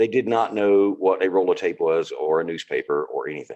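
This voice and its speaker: This man speaks in a Southern accent at a fairly quick pace. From US South, North Carolina. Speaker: car enthusiast. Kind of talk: casual interview. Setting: video call.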